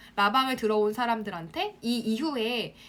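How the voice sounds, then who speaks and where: Noticeable background noise runs beneath a woman whose voice sits at a fairly high pitch. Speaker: online marketing instructor. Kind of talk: live-stream class for students. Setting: Instagram live broadcast. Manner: fast.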